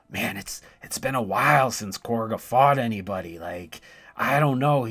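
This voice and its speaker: Using a put-on character voice, a man delivers a raspy, medium-pitched performance with lively intonation at a moderate pace. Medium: virtual streamer.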